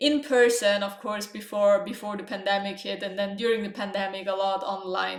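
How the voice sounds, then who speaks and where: Speaking at a moderate pace with a non-native accent, a woman uses medium pitch and fairly even intonation, with audible room echo and noticeable background noise. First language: not English. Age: 20s. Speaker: writing coach and online entrepreneur. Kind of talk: vlog tutorial. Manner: casual with frequent fillers.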